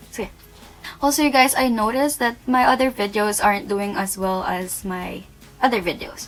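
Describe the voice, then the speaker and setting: The speaker is a woman with a fairly high pitch and a non-native accent. Background noise is noticeable. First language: not English. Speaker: beauty youtuber. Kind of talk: product review. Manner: casual, hesitant.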